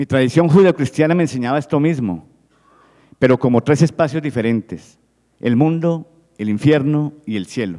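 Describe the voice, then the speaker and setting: Against a quiet background, a man with a dark, mellow tone and fairly high pitch speaks at a fairly quick pace with lively intonation. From Colombia. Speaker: physician and researcher; presenter. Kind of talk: reading aloud. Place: hall. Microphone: handheld.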